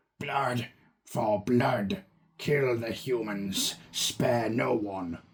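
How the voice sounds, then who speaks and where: Putting on a character voice that is croaky and raspy, a man speaks at a very slow pace and a medium pitch. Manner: menacing, commanding.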